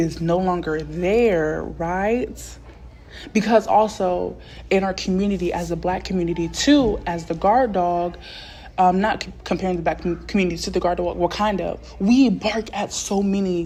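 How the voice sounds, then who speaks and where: Music plays in the background as a speaker with an American accent talks at a moderate pace with fairly even intonation. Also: woman. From Texas. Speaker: podcast host, book reviewer. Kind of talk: casual solo book review commentary. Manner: halting, with fillers and restarts.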